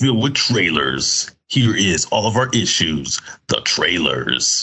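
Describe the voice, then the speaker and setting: A man puts on a character voice in a medium pitch. He goes at a very slow pace with very wide pitch swings. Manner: spooky.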